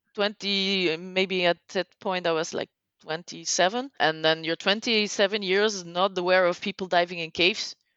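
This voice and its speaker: A woman with a Flemish accent talks at a fairly slow pace and a medium pitch. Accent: Belgian (Flemish) accent in English. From Belgium. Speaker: technical cave diver. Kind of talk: podcast interview. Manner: halting, searches for words; animated.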